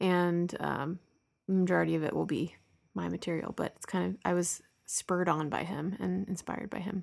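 At a moderate pace, a woman speaks on a very clean recording against a silent background. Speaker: podcast host. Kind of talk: solo podcast monologue.

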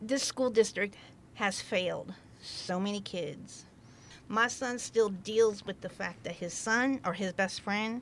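A woman has an unremarkable speaking voice with an American accent, medium pitch and ordinary pitch variation. The recording is very clean, with a silent background. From Central Oregon, La Pine. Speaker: host's wife, former retail manager. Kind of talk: casual chat.

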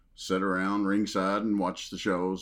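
The speaker has a Southern US accent and monotone, flat intonation. The recording is very clean, with a silent background. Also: man. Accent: Southern drawl. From US South, Western Kentucky. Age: 50s. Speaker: retired professional wrestler. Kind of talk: casual interview. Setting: horror convention.

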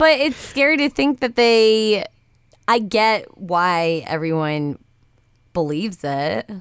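A woman speaks loudly at a very slow pace, in a medium pitch with very wide pitch swings. The sound is dry and close, with no echo. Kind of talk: casual chat.

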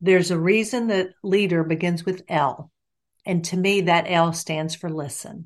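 In a quiet background, a woman with a normal speaking voice speaks at a fairly slow pace, her pitch fairly low and her intonation fairly even. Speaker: executive coach and trainer. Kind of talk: casual interview chat.

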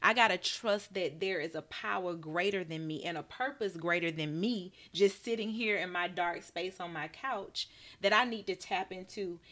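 On a very clean recording with a silent background, a woman with an Alabama accent speaks at a medium pitch and moderate pace, her tone bright and sharp, her pitch variation ordinary. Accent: Southern US (Alabama). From US South, Birmingham, Alabama. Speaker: nurse practitioner and wellness entrepreneur. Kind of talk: casual interview, faith testimony.

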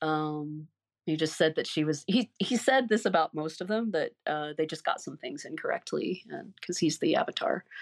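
A woman talks in a plain, everyday voice, fairly low in pitch, with lively intonation. Her pace is moderate, and the sound is dry and close with no echo. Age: 50s. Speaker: ex-cult member and massage therapist. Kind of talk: interview, personal testimony.

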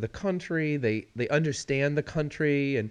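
This man has a fairly high pitch and an unremarkable speaking voice, with an American accent. He talks at a fairly slow pace. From Missouri. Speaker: podcast co-host and radio host. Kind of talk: casual chat. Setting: recording with headphones and mics.

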